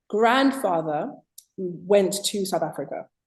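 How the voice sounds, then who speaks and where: At a fairly slow pace, a woman with a British accent speaks at a medium pitch, her voice making very wide pitch swings. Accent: UK. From Zimbabwe. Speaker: author. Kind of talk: interview.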